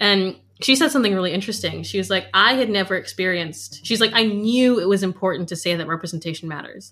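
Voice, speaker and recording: A woman at medium pitch with ordinary pitch variation and a very fast pace, against noticeable background noise. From United States. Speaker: cellist. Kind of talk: casual interview.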